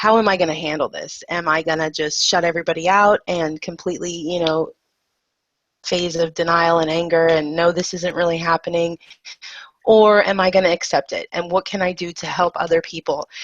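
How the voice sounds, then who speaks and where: A woman's fairly low, monotone voice with flat intonation at a fairly quick pace, dry and close with no echo against a quiet background. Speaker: person with MS, patient advocate and speaker. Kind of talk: interview.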